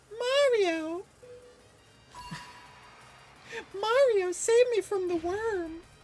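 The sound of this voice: An extremely high-pitched, put-on character voice, female-sounding, at a very slow pace with long, frequent pauses.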